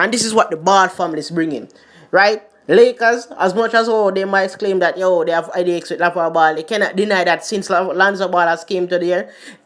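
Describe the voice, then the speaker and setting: The speaker talks at a fairly quick pace with a Jamaican accent. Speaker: sports commentary YouTuber. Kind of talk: casual vlog commentary.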